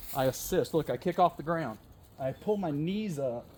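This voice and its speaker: Loud and animated, a man with a high pitch speaks at a moderate pace with lively intonation. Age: 50s. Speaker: fitness and wellness vlogger. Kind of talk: workout tutorial.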